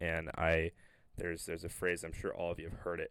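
In an American accent, a man talks at a very deep, low pitch. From Connecticut. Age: 20s. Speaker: college athlete and podcast co-host. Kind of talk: casual chat.

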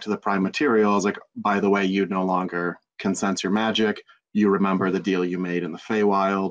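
A man talks at a fairly quick pace, his fairly low voice held in a monotone, flat intonation. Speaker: podcast producer and game master. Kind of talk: casual chat.

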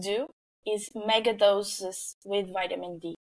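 Speaking in a Portuguese accent, a woman has a medium pitch. She goes at a very slow pace with fairly even intonation. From Portugal. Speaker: nutrition researcher. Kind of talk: interview. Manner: halting.

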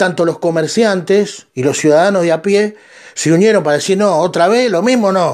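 A man with a Rioplatense accent speaks in a high voice at a moderate pace, with ordinary pitch variation and very even loudness. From Argentina. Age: 50s. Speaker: podcast host. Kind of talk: monologue commentary.

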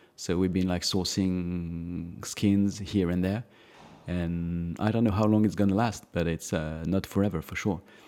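With a French accent, a man speaks at a fairly slow pace in a very deep, low pitch, his dark, mellow tone carrying fairly even intonation. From France, Alsace. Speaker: watch brand founder and designer. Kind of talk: casual interview.

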